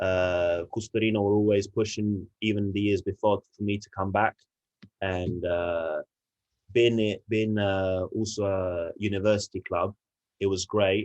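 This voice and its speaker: A man with an English accent speaks at a fairly slow pace in a fairly low, monotone voice with flat intonation, the sound dry and close with no echo over a quiet background. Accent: English-sounding. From Italy, Turin. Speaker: rugby player. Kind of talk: podcast interview. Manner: halting, many fillers.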